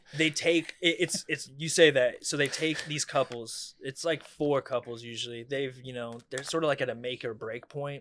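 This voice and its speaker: This man with an American accent has a normal speaking voice at a fairly high pitch with ordinary pitch variation. He keeps a moderate pace with hardly any pauses. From Coachella Valley, California. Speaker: stand-up comedian. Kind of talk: casual chat.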